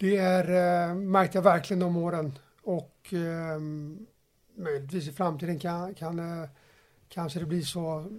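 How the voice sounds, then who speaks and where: Speaking at a fairly slow pace with long, frequent pauses, a man holds a high pitch in monotone, flat intonation. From Stockholm, Sweden. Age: 30s. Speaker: football coach. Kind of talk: podcast interview.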